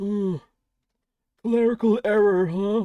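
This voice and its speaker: A put-on character voice, female-sounding, is pitched at a medium level for a woman. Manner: sarcastic.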